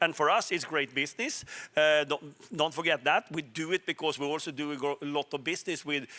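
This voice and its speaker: Speaking with a Swedish accent, a man uses a fairly high pitch, a bright, sharp tone and fairly even intonation at a fairly quick pace, in a dry, close sound with no echo. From Sweden. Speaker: telecom executive. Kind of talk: panel discussion.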